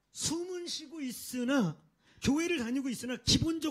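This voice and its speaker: Extremely high pitch from a man, lively intonation, a moderate pace, and a quiet background. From South Korea. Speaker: pastor; preacher. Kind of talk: sermon. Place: church. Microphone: handheld.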